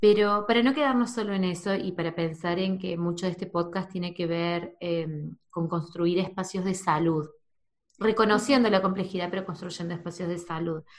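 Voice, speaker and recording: Here is a woman with a plain, everyday voice at medium pitch. She talks at a moderate pace with ordinary pitch variation. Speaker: podcast host. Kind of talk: casual interview.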